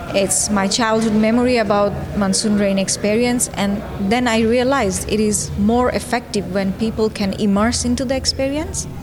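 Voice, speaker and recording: A woman's fairly high voice at a moderate pace, with fairly even intonation, very even loudness, audible room echo and noticeable background noise. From Bangladesh. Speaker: fine artist. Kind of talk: interview. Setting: festival.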